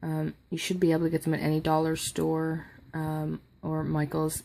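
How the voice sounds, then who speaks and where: This is a woman's voice. Her pitch is very deep and low. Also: very clean recording, silent background. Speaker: crafting youtuber. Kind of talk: tutorial. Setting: at home at night. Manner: soft-spoken; halting.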